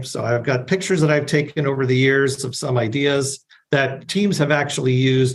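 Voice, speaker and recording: Somewhat breathy, a man speaks at a medium pitch. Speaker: agile coach presenting a talk. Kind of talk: webinar presentation. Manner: fast.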